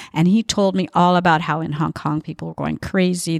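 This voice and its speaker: An ordinary speaking voice with a Canadian accent at a moderate pace, dry and close with no echo, on a very clean recording with a silent background. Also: woman. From Edmonton, Canada. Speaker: tango teacher and dancer. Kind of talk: casual chat.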